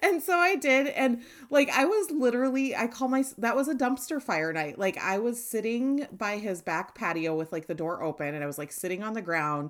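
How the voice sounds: A woman speaks at a moderate pace in a raspy voice with a fairly high pitch. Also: ordinary pitch variation.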